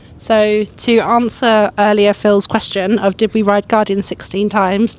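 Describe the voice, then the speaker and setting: In a British accent, a woman speaks at a moderate pace with monotone, flat intonation. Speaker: travel vlogger. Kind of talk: casual vlog chat. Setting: outdoors walking at night.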